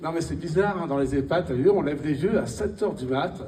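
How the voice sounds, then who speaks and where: Amid audible room echo, a man with a fairly high pitch and vocal fry speaks with lively intonation. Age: 60s. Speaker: stand-up comedian. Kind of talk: stand-up. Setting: stage with audience.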